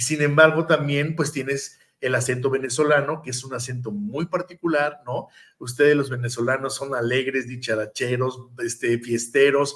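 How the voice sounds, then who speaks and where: A plain, everyday voice is heard at a moderate pace. Its intonation stays fairly even. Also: man, medium pitch for a man. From Mexico. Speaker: podcast host. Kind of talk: interview conversation.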